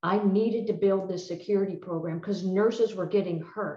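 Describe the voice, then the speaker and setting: A woman's normal speaking voice at medium pitch and a fairly quick pace. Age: 60s. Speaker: retired federal drug agent. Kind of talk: presentation.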